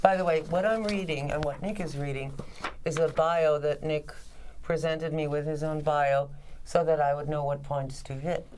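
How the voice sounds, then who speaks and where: Over noticeable background noise and audible room echo, a woman talks at a moderate pace in a very deep, low pitch with fairly even intonation. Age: 60s. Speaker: television journalist and talk show host. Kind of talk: interview.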